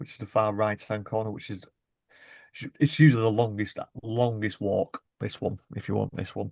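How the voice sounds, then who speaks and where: A Lancashire accent at a moderate pace, with fairly even intonation, big swings in loudness, and a dry, close sound with no echo. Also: man, fairly low pitch for a man. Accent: Bolton. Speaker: podcast co-host. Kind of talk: casual chat.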